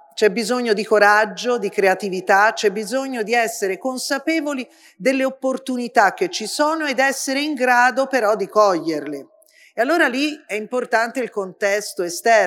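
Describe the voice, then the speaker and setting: Over a very clean recording with a silent background, a woman uses an ordinary speaking voice. Her pitch is fairly high, her intonation lively and her pace moderate. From Florence, Tuscany. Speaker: politician. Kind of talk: panel discussion.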